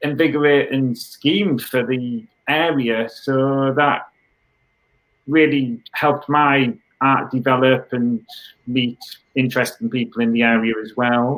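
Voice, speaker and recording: A British accent at a fairly slow pace, with ordinary pitch variation. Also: man, medium pitch for a man. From northern England, Middlesbrough. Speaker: artist. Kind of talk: interview.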